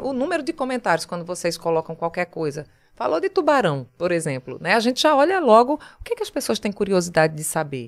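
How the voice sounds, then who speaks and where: With a Pernambuco accent, a woman at a medium pitch speaks in an animated tone, very fast and with very wide pitch swings. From Pernambuco Agreste, Brazil. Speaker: TV journalist. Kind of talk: casual interview chat.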